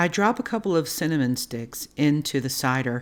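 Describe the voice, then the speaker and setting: Her tone calm but her intonation lively, a woman with a Baltimore accent and a very deep, low pitch speaks in a very clean recording with a silent background. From Baltimore, US. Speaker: cooking channel host. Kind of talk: cooking tutorial. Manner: calm, instructional.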